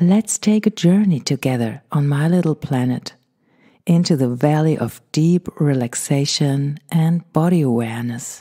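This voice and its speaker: In a German accent, a woman speaks at a fairly slow pace with a very deep, low pitch, a dark, mellow and calm tone and lively intonation, in a dry, close sound with no echo on a very clean recording with a silent background. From Germany. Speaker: meditation podcast host. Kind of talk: podcast introduction before guided meditation. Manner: slow, calm.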